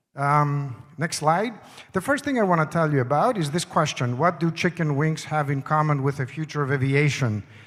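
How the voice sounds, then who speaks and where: With a non-native accent, a man speaks at a moderate pace in a fairly high voice with ordinary pitch variation. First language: not English. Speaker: conference speaker. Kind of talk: conference presentation.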